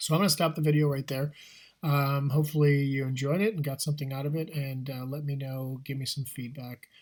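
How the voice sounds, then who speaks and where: A man talks at a fairly quick pace in a fairly high pitch. His voice is somewhat breathy, with fairly even intonation. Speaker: math teacher. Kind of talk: tutorial. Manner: fast; casual, with fillers.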